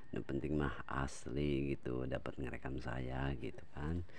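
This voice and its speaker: In a West Javanese accent, a man talks at a moderate pace with audible room echo. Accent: Sundanese accent in Indonesian. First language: Sundanese (speaking Indonesian). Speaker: vlogger. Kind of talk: casual vlog narration. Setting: outdoors, rice fields near a river. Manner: casual, chatty.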